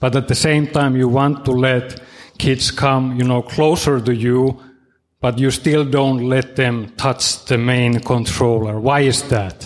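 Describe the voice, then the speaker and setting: Delivered at a fairly slow pace, the speech has monotone, flat intonation and very even loudness. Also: man, medium pitch for a man. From Finland. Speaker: audience member, music producer. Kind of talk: audience question. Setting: stage with audience.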